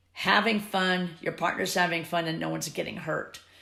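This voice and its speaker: A bright, sharp tone with vocal fry and audible room echo. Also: woman. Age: 70s. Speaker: swing dance teacher. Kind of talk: interview.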